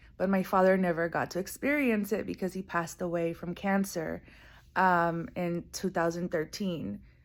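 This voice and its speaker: At a moderate pace, someone speaks with a Spanish accent on a very clean recording with a silent background. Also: woman, fairly low pitch for a woman, fairly even intonation. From US, born in Guatemala, moved at age five. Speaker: coffee farmer and former soccer media worker. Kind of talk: personal video monologue. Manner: casual with fillers.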